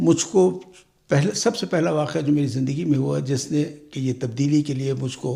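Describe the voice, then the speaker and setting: With a dark, mellow tone, a man speaks in a somewhat breathy voice and lively intonation. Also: fairly high pitch for a man. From Pakistan. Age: 80s+. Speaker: senior immigrant. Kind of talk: interview answer.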